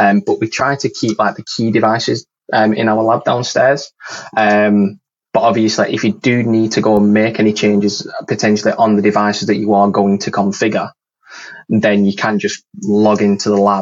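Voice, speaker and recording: In a Lancashire accent, a man speaks with a fairly low pitch and monotone, flat intonation. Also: moderate pace. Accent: northern English, Lancashire. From northern England. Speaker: network engineer. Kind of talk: casual chat, interview. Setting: video call.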